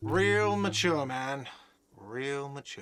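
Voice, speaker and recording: A man's whiny, put-on character voice at a medium pitch. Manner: shouting, sarcastic.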